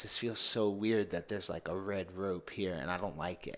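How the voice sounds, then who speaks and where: A man with a New York accent talks at a fairly quick pace. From New York City (Bronx). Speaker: men's coach. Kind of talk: casual interview.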